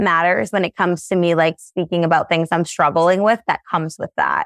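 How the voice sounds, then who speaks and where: In a dry, close recording with no echo and a quiet background, a woman with an unremarkable speaking voice and fairly low pitch talks at a moderate pace with fairly even intonation. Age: 20s. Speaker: social media content creator. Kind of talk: casual chat. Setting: video call.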